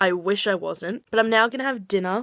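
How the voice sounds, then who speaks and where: a woman with an Australian accent, a bright, sharp tone and ordinary pitch variation. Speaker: book vlogger. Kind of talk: casual vlog talk. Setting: home kitchen at night. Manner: quiet.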